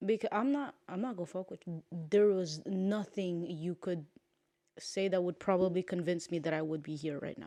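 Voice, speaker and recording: Her voice has a dark, mellow tone, and the woman's pitch varies in an ordinary way. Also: fairly low pitch for a woman, moderate pace. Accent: Curaçao. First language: Papiamento. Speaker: podcast co-host. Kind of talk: casual chat. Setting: home studio on a couch.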